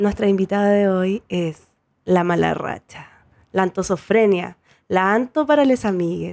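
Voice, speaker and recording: At a fairly slow pace, a woman of medium pitch speaks with a Chilean accent and ordinary pitch variation. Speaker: podcast host and tattoo artist. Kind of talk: casual chat.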